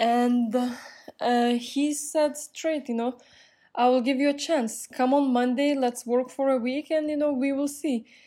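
Her intonation is fairly even, and this woman has a high pitch with a dark, mellow tone. The recording is very clean, with a silent background. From Europe. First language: non-English European language. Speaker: podcast host and real estate agent. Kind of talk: casual monologue.

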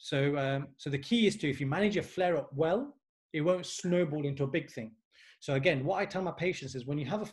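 The man's voice is somewhat breathy and fairly high in pitch. He moves at a fairly quick pace with ordinary pitch variation. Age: 30s. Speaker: physiotherapist. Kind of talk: educational interview.

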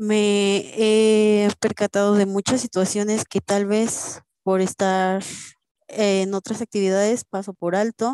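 In a dark, mellow tone, a woman speaks at a very slow pace with monotone, flat intonation. The sound is dry and close, with no echo. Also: medium pitch for a woman. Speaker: university student. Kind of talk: casual chat.

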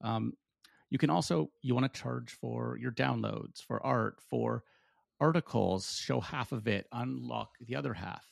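Against a quiet background, a man with a very deep, low voice and vocal fry talks at a fairly slow pace, his pitch swinging very widely. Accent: Canadian. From Canada. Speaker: tech startup founder. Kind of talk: casual chat.

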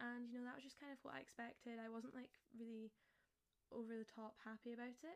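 A woman with a fairly high voice talks very fast, her intonation fairly even. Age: young. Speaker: lifestyle influencer. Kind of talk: solo monologue podcast. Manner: casual, chatty.

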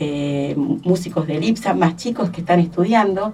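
With a normal speaking voice, a woman speaks at a fairly slow pace and fairly low pitch, varying it in an ordinary way. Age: 60s. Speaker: arts education director. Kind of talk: radio interview.

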